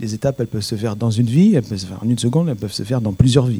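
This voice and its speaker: A man's voice sits at a medium pitch with ordinary pitch variation. His tone is dark and mellow. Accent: non-native. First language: not French (speaking French). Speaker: rabbi. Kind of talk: panel discussion.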